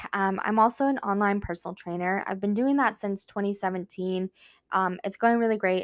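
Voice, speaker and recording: This woman has an American accent and a medium pitch, with ordinary pitch variation in an animated tone. The sound is dry and close, without any echo. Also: very clean recording, silent background. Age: 20s. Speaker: podcast host, entrepreneur and online personal trainer. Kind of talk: personal monologue, casual. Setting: home recording, sitting on floor. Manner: animated, frequent laughter; halting, many fillers and restarts.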